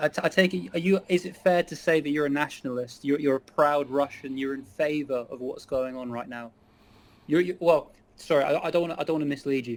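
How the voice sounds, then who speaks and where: A man with an English accent, a fairly high pitch, ordinary pitch variation, a fairly quick pace and big swings in loudness. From England. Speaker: chat stranger in online video chat. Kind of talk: casual political discussion.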